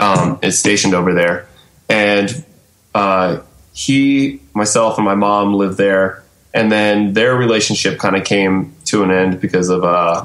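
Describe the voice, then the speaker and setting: a normal speaking voice, fairly slow in pace and with ordinary pitch variation. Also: man, fairly low pitch for a man. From US South, Atlanta area. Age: 30s. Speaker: hardcore band vocalist and teacher. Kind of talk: casual interview chat. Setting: Skype video call.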